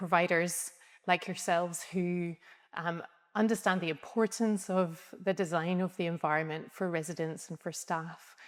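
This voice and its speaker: Speaking in a Scottish accent, a woman holds a medium pitch with monotone, flat intonation. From Scotland. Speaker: architect. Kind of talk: interview. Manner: hesitant, many ums.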